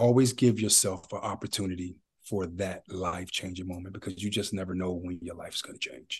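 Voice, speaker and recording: A man with a very deep, low voice speaks in an American accent at a fairly quick pace, with hardly any pauses, a somewhat breathy tone and big swings in loudness, against a quiet background. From Ohio, Youngstown. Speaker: actor. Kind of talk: casual chat. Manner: animated.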